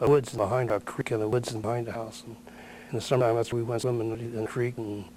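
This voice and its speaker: The speaker has a Midwestern American accent and talks at a very fast pace. The intonation is monotone and flat. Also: man. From Ohio, West Chester area. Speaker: local elder, oral history interviewee. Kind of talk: oral history interview. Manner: halting.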